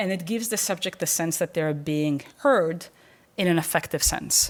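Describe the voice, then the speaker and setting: A woman with a non-native accent speaks at a fairly low pitch, with ordinary pitch variation. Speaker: professor. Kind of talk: lecture. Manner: halting, many repetitions and fillers.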